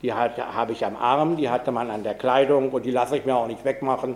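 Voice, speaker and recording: Here a man has a plain, everyday voice at medium pitch. He talks at a fairly quick pace with fairly even intonation. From Pommern, Germany. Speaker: Holocaust survivor. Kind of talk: public talk.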